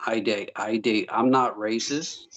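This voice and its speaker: In a dry, close recording with no echo, a man with a Southern US accent talks at a fairly low pitch. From US South, South Carolina. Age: 30s. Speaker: Navy veteran. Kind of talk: casual chat. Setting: remote call.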